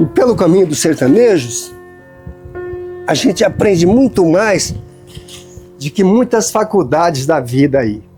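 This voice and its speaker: With music playing behind him, a man talks at a fairly slow pace in a high voice, swinging his pitch very widely and leaving long, frequent pauses. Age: 70s. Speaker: tree planter and seed collector. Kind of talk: casual talk to camera outdoors. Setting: outdoors.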